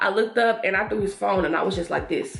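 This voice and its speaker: The background carries noticeable noise. Over it, a woman talks. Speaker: lifestyle YouTuber. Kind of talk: storytime while doing makeup. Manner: fast; animated.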